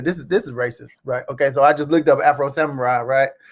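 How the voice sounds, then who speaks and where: The pace is very fast and the tone animated. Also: man. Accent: American. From Cleveland, Ohio, US. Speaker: podcast co-host. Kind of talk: casual chat.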